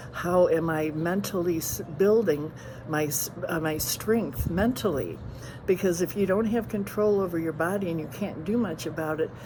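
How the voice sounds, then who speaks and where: Over noticeable background noise and audible room echo, the voice moves at a moderate pace with ordinary pitch variation. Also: woman, fairly low pitch for a woman. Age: 70s. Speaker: retired homebound patient advocate. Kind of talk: presentation. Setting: at home. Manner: halting, many fillers and restarts.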